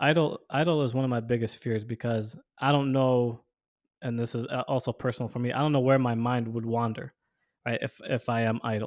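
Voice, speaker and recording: A man with a plain, everyday voice, medium in pitch with fairly even intonation, against a quiet background with a dry, close sound and no echo. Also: fairly quick pace. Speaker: podcast co-host. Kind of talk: casual conversational discussion.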